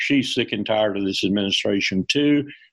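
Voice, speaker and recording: Speaking with a Southern US accent, a man talks at a fairly quick pace. His pitch is fairly low with ordinary variation. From US South. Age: 70s. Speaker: retired army colonel. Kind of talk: interview.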